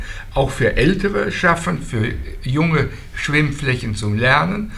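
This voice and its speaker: Amid noticeable background noise and audible room echo, a man talks at a very slow pace in a fairly high pitch. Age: old. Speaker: local activist. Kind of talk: group discussion.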